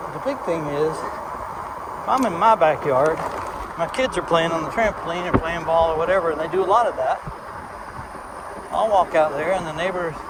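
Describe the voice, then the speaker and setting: A man with an American accent speaks fairly quickly at a high pitch, with ordinary pitch variation. The room echo is audible and the background noise is noticeable. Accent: strong accent, implied Southern US. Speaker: vlogger. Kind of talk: casual rambling vlog. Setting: outdoors, riding an ebike.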